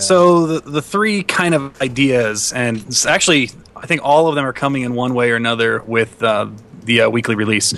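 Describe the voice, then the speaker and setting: Lively intonation carries this moderately paced speech over noticeable background noise. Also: man, medium pitch for a man. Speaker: Minecraft youtuber guest. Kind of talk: casual chat.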